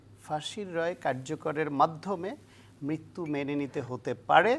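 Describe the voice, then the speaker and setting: Ordinary pitch variation in a very deep, low female voice. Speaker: political analyst. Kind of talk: interview. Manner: halting.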